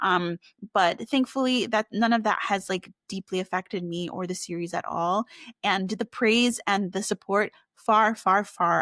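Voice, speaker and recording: A woman speaks at a medium pitch and moderate pace with fairly even intonation. The sound is dry and close, with no echo. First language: Spanish. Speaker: children's book author. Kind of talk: interview. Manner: halting, many fillers.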